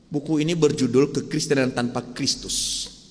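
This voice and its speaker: A fairly quick pace, with a Sumatran accent. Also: man. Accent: Sumatran, still present. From Sumatra, Indonesia. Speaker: pastor. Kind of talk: sermon. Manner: conversational, asks the congregation questions.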